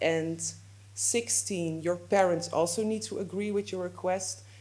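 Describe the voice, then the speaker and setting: A woman with a Dutch accent has a dark, mellow tone, fairly low pitch, and vocal fry, moving through very wide pitch swings. She talks at a moderate pace amid audible room echo. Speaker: legal adviser. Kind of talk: lecture. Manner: halting, with fillers and self-corrections.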